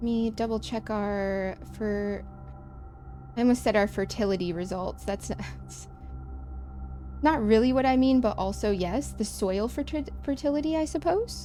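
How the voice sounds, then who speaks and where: A woman with an American accent speaks with long, frequent pauses while music plays in the background. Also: moderate pace. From US Midwest. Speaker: game streamer. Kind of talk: casual gameplay commentary. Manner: chatty, self-interrupting.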